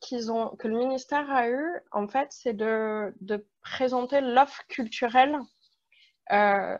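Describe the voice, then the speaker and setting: A woman speaks very slowly in a high pitch with ordinary pitch variation. The background is quiet. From France. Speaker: panelist, museum community member. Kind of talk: presentation in online panel.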